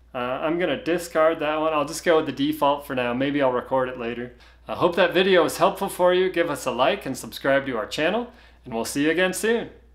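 A man speaks at a fairly quick pace. Nothing much stirs in the quiet background. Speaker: tech tutorial host. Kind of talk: tutorial. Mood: relaxed, friendly. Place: home room.

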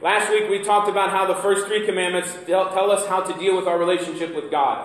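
Audible room echo around a man's voice. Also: quiet background. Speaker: pastor. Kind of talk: sermon. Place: church. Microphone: camera far.

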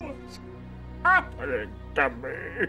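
Slow, put-on character voice with a bright, sharp tone, very wide pitch swings, and faint music in the background. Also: man, fairly high pitch for a man.

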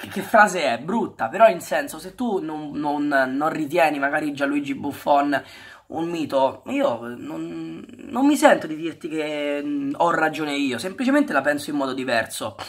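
The background stays quiet. A man speaks fairly slowly. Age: 20s. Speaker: football YouTuber. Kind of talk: vlog monologue. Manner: halting, with many repetitions. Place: home room. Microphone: webcam.

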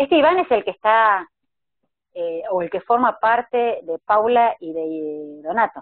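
A woman at a fairly slow pace with very wide pitch swings, in a dry sound with no echo against a quiet background. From Argentina, Córdoba; Argentina. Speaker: live stream interviewer. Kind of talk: interview. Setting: video call. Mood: warm, reflective. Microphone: video call.

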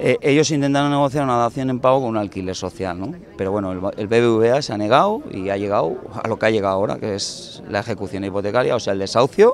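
A man at a very fast pace with ordinary pitch variation, in a dry sound with no echo over light background noise. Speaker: housing activist spokesman. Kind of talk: interview answer. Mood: determined, indignant. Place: street. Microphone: handheld.

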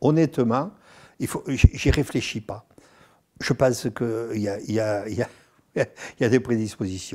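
Against a quiet background, a man with a dark, mellow tone speaks at a very slow pace with long, frequent pauses, big swings in loudness and ordinary pitch variation. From southern France, Nîmes; southern France. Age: 70s. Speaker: actor and singer; actor. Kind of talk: interview. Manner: halting, repeats words. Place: home room.

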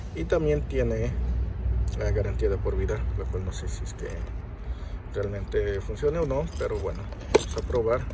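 A man at a moderate pace with long, frequent pauses, dry sound with no echo, and loud background noise. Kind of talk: casual product walkthrough. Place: car. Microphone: phone near.

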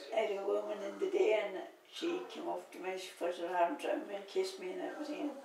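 There is audible room echo and noticeable background noise as a woman speaks at a fairly high pitch with very wide pitch swings. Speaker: knitter. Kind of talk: interview answer. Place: home room. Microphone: camera far.

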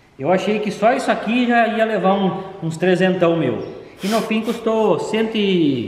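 The speech moves at a fairly slow pace with ordinary pitch variation, light background noise and audible room echo. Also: man, high pitch for a man. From Brazil. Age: 40s. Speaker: YouTuber machinist showing his car. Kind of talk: casual vlog talk to camera. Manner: animated. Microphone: camera far.

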